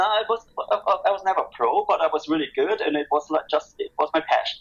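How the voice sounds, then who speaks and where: A fairly quick-paced man with a German accent. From Germany. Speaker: skate brand owner. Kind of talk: podcast interview. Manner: halting.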